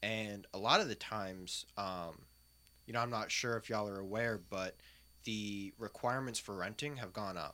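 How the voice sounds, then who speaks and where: A man speaks in a bright, sharp tone at a moderate pace. The recording is very clean with a silent background. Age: 20s. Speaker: gun enthusiast. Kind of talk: casual chat.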